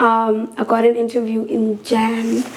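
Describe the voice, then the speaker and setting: A woman speaks at a fairly high pitch against noticeable background noise. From South Africa, Eastern Cape (Gqeberha). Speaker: singer. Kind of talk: casual chat.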